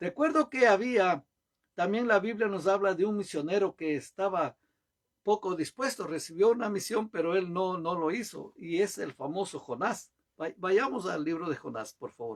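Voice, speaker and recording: A man talks at a moderate pace in a high-pitched voice with lively intonation. The sound is dry and close, with no echo. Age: 70s. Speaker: pastor. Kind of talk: sermon.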